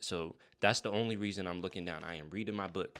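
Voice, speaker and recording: A man in an animated tone with an American accent, fairly low pitch and ordinary pitch variation, at a fairly quick pace in a very clean recording with a silent background. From US Virgin Islands, St. Croix. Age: 30s. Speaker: motivational YouTuber. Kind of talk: motivational talk to camera.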